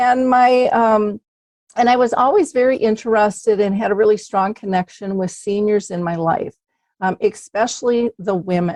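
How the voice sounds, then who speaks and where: A woman with an American accent speaks at a fairly high pitch and moderate pace. Her pitch varies in an ordinary way, and the sound is dry and close with no echo. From Minnesota, US Midwest. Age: 60s. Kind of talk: podcast interview. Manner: casual, hesitant with fillers.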